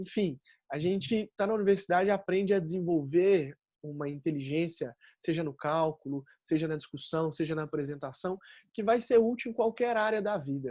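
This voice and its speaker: A man with a high pitch speaks at a moderate pace with lively intonation and a dark, mellow tone. The sound is dry and close, with no echo. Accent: Minas Gerais. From Minas Gerais, Brazil. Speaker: engineering graduate speaker. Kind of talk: panel talk.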